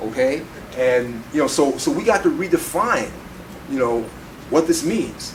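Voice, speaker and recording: A man with an American accent speaks at a fairly slow pace and fairly high pitch, with lively intonation and long, frequent pauses, amid audible room echo and noticeable background noise. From Chicago, South Side. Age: 60s. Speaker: political activist and editor. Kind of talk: panel talk. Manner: animated.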